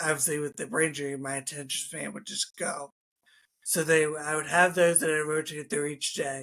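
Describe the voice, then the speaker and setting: Speaking at a fairly quick pace, a man in a Philadelphia accent has a fairly high pitch, a bright, sharp tone and fairly even intonation. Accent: Philadelphia-area American. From US, Philadelphia suburbs. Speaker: former strength and conditioning coach, trauma survivor. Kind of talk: interview.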